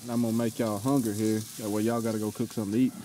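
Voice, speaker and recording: Dry sound with no echo from a man, plus light background noise. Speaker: homesteader vlogger. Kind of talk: casual vlog chat. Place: open country. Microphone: phone near.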